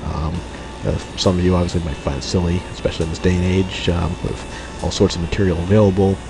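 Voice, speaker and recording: Noticeable background noise and audible room echo surround a man's very deep, low voice. He talks very fast in a monotone, flat intonation. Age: 30s. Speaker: let's play gamer. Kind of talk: gameplay commentary. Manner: halting, many fillers.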